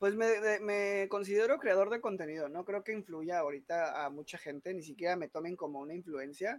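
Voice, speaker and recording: With a Mexican accent, a man talks at a fairly quick pace in a high pitch with ordinary pitch variation. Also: hardly any pauses. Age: 20s. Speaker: content creator. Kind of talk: casual chat.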